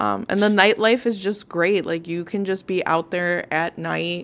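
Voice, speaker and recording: With an ordinary speaking voice, a woman speaks fairly slowly at a fairly low pitch and with fairly even intonation. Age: 20s. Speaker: guest recounting a trip. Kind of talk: casual chat.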